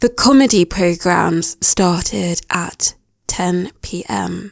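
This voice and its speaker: At a very slow pace, a speaker with a British accent talks in a dry, close sound with no echo. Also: woman. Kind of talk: English listening practice narration. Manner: slow, clear.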